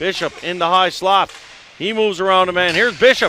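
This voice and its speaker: A raised, projected voice in a Newfoundland accent over noticeable background noise. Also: man. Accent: Newfoundland Canadian English. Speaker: play-by-play announcer. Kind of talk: live commentary.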